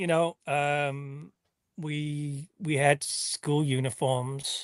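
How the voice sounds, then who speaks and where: Against a quiet background, a man speaks at a very slow pace with a fairly high pitch. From northwest England. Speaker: sportswear designer. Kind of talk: interview. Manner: hesitant, many fillers.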